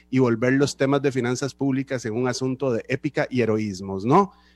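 On a very clean recording with a silent background and a dry, close sound with no echo, a man speaks in a normal speaking voice at medium pitch and moderate pace with fairly even intonation. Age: 30s. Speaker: radio host. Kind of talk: radio interview.

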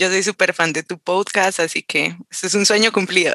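In a normal speaking voice, a woman talks at a fairly slow pace with ordinary pitch variation, heard with a dry, close sound and no echo. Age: 20s. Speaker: political scientist. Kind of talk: casual conversation.

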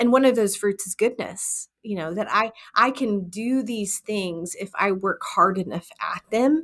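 A plain, everyday voice at a fairly slow pace, with ordinary pitch variation and hardly any pauses. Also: woman, fairly high pitch for a woman. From Texas. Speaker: women's ministry leader and author. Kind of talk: interview, personal testimony.

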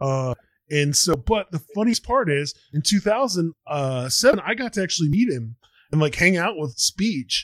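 A man speaks with an American accent at a fairly high pitch. It is a normal speaking voice. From Texas. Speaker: podcast host. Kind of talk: casual chat.

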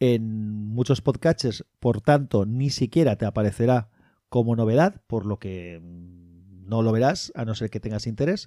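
A man's medium-pitched, dark, mellow voice with ordinary pitch variation, in a very clean recording with a silent background and a dry, close sound with no echo. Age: 40s. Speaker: podcaster. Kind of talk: solo monologue podcast.

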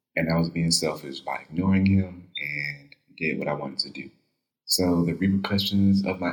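This man has a very deep, low pitch and an American accent. He speaks at a moderate pace. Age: 20s. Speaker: podcaster, college student. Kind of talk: personal confession monologue.

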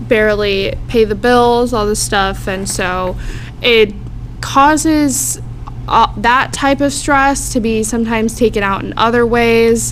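A woman speaks very slowly with an American accent. Noticeable background noise and audible room echo surround her. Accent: American, Americanized. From Florida, Tampa Bay area. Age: 20s. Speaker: community organizer. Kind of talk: casual chat.

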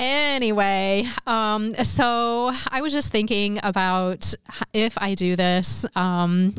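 Here a woman uses an ordinary speaking voice. Her pitch is medium, with ordinary variation. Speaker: podcast co-host. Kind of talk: casual chat.

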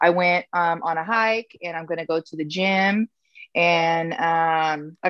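Recorded with a dry, close sound with no echo and a quiet background, a woman speaks in a normal speaking voice at fairly low pitch with fairly even intonation. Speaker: podcast guest. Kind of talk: casual chat. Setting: video call.

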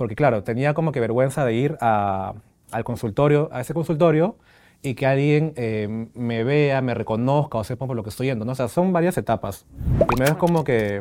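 With ordinary pitch variation and a moderate pace, the speaker uses a plain, everyday voice. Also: man, medium pitch for a man. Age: 30s. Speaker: HIV-positive patient. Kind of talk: interview testimony. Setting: studio with small audience.

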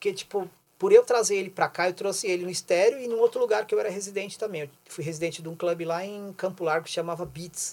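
At a very fast pace with hardly any pauses, a man speaks in a high pitch, his loudness swinging widely. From São Paulo, Brazil. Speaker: DJ and DJ instructor. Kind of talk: casual interview on a livestream.

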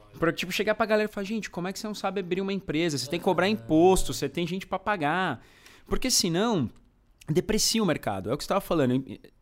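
A very fast pace with music in the background. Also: man, high pitch for a man, ordinary pitch variation. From Brazil, São Bernardo do Campo (Greater São Paulo). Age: 30s. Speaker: food YouTuber. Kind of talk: casual chat.

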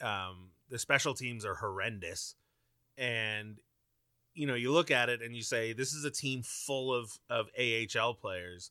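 A man speaks at a medium pitch and a fairly slow pace, his tone bright and sharp. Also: ordinary pitch variation. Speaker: podcast host. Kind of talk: hockey podcast recap and chat. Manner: conversational, fluent, wry.

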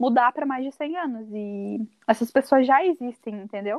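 Speaking with a southern Brazilian accent, a woman has a high pitch. She goes at a fairly slow pace with ordinary pitch variation. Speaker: podcast co-host. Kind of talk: casual chat.

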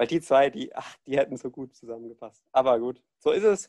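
Lively intonation at a moderate pace, in a dry, close sound with no echo. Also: man. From Germany, Ludwigshafen. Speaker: student, podcast host. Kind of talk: casual chat.

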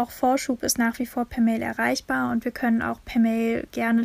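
A woman speaking at a fairly high pitch. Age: 20s. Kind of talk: interview.

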